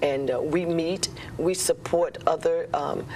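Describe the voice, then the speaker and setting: Noticeable background noise runs throughout. Over it, a female speaker talks. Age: 60s. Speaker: breast cancer survivor. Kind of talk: TV talk show interview.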